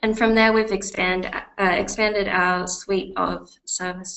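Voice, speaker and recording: A woman with an Australian accent at a fairly slow pace, with audible room echo. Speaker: client success manager presenting a software webinar. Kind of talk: webinar presentation. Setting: online webinar.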